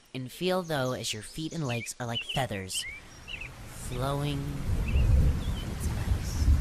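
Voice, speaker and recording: Amid noticeable background noise, a woman speaks at a very slow pace in a calm, soothing tone. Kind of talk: guided relaxation.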